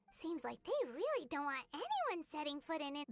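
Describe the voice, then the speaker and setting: A high voice, clearly a put-on character voice. It moves at a moderate pace. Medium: video game. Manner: quick, reactive.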